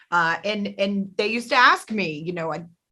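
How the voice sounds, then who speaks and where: A woman's medium-pitched voice with a slight Southern US accent, bright and sharp in tone, with ordinary pitch variation. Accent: slight Southern drawl. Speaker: podcast host. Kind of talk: interview chat. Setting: studio.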